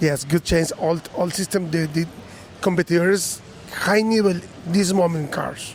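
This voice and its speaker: Against noticeable background noise, a man with a high pitch speaks at a fairly slow pace with fairly even intonation. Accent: Spanish. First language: Spanish. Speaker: car audio competitor. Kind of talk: interview. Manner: halting.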